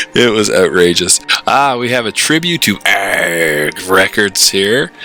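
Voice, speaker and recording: A man with an animated tone and music in the background. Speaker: zine maker and metal record collector. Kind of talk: casual show-and-tell monologue.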